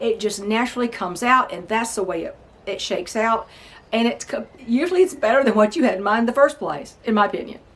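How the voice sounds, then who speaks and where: With lively intonation and a fairly high pitch, a woman speaks at a very fast pace over noticeable background noise. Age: 60s. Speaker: novelist and homesteader. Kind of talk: casual vlog talk. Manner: halting, with frequent fillers.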